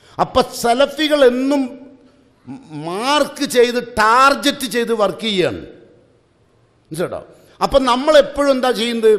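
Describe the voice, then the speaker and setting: Over a quiet background, a man speaks at an extremely high pitch with ordinary pitch variation. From Kerala, India. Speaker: Islamic preacher; speaker. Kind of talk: religious class lecture. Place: hall. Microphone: podium.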